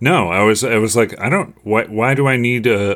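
On a very clean recording with a silent background, a man speaks at a moderate pace in a fairly low pitch with ordinary pitch variation. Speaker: guest. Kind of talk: casual chat.

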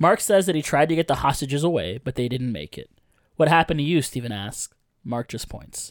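Using a plain, everyday voice, a man speaks at medium pitch with lively intonation. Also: dry, close sound with no echo, very clean recording, silent background. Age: 30s. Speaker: podcast host. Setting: home podcast studio, in person.

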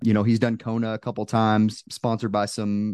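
A man with an American accent speaks at a moderate pace and a fairly low pitch, in a normal speaking voice. The sound is dry and close with no echo, over a quiet background. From Texas. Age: 30s. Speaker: Air Force firefighter and ultrarunner. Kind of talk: casual chat.

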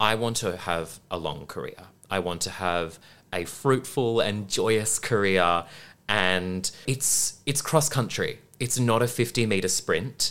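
On a very clean recording with a silent background, a man with an Australian accent speaks very slowly at a fairly low pitch, with ordinary pitch variation. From Western Australia (Perth). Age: 20s. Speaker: musical theatre actor. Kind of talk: interview.

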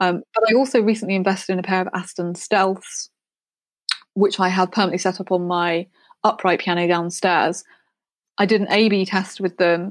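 A woman with a plain, everyday voice speaks at a moderate pace and medium pitch, her intonation fairly even, on a very clean recording with a silent background. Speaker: music producer. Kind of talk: interview chat.

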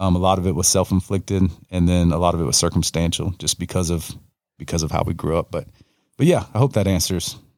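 On a very clean recording with a silent background, a man with a Southern US accent talks at a very fast pace in a very deep, low pitch with fairly even intonation. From US South, North Florida. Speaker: pastor. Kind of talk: casual chat. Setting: home studio. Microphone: good mic, recorded locally.

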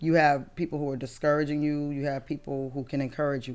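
Very clean, with a silent background, the recording captures a woman's very deep, low voice. She speaks at a very fast pace. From Massachusetts (Brockton). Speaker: business founder, military veteran. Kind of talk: interview conversation.

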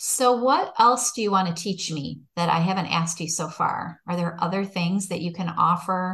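With an American accent, a woman with a fairly low pitch talks at a fairly slow pace. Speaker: podcast host. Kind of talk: interview. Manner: animated.

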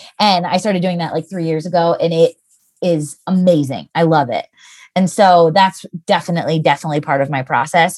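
In an American accent, a woman with an unremarkable speaking voice talks fairly quickly at a fairly low pitch with fairly even intonation, on a very clean recording with a silent background. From Lancaster County, Pennsylvania, US. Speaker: copywriter, business owner. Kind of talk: interview conversation.

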